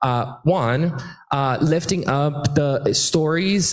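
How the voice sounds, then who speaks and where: A somewhat breathy man speaks with ordinary pitch variation. Room echo is audible. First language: Portuguese. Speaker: immigrant rights activist. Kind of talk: panel discussion. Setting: stage with audience. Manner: animated.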